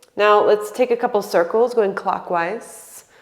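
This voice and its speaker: With noticeable background noise behind her, a woman speaks in a calm tone at a fairly slow pace, her fairly high pitch kept to fairly even intonation. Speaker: yoga instructor. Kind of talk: guided yoga class. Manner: calm, instructional.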